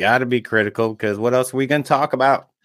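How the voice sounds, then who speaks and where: A man with a normal speaking voice talks at a fairly quick pace and a medium pitch. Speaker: race vendor and spectator, guest co-host. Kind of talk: casual chat.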